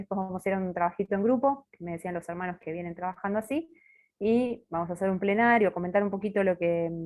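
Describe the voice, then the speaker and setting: A woman at medium pitch, very fast pace, and ordinary pitch variation. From Buenos Aires, Argentina. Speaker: religious sister giving formation talk. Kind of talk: formation talk.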